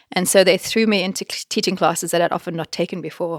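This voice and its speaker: Fairly low female voice with a South African accent and fairly even intonation, dry and close with no echo, in a very clean recording with a silent background. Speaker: think tank director and academic. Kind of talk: interview conversation.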